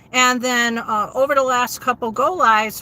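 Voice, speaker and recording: Fairly even in intonation, the speech moves at a moderate pace in an American accent. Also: woman. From New England, US. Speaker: content creator and affiliate marketing teacher. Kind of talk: livestream chat reading comments. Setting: live stream. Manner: casual, with many fillers.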